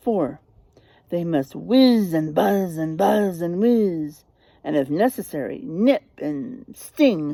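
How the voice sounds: In a put-on character voice, a woman speaks slowly with lively intonation. Her fairly low, dark, mellow tone carries vocal fry.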